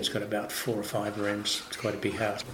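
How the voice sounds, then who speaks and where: With an Australian accent and a fairly low pitch, a man talks over noticeable background noise and audible room echo. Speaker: winemaker. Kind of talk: interview. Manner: halting.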